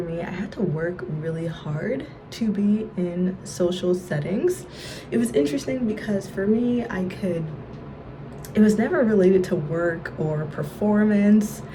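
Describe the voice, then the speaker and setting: Over noticeable background noise, a woman talks at a moderate pace. Her pitch variation is ordinary. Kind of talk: casual talk to camera.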